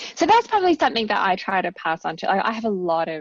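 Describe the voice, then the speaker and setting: Very fast speech comes from a woman in an Australian accent. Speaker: academic researcher and author. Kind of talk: casual chat.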